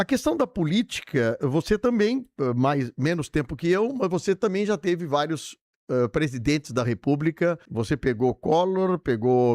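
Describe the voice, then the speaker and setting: Recorded dry and close with no echo over a quiet background, a man speaks at a moderate pace in a fairly high pitch with very wide pitch swings. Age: 60s. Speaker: radio host, former city councillor. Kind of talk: radio interview.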